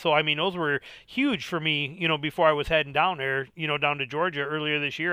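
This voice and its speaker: Fairly high for a man, his voice moves at a fairly quick pace with fairly even intonation. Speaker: bow hunting podcaster and YouTuber. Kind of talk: casual chat. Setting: phone or online call. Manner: fast talker.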